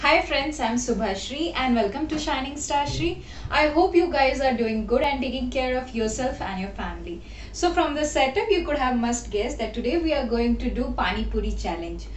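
With audible room echo and light background noise, a woman speaks at a moderate pace in a high pitch. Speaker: food vlogger. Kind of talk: casual vlog chat. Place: home room. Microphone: phone near.

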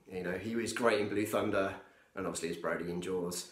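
A man's voice carries audible room echo over a quiet background. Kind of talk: casual vlog chat. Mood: enthusiastic, nostalgic. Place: home room. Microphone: phone near.

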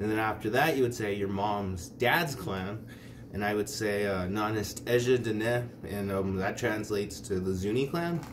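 Noticeable background noise sits behind a man speaking at a moderate pace. His pitch is fairly low, with ordinary pitch variation. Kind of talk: casual tutorial. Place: home room. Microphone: phone near.

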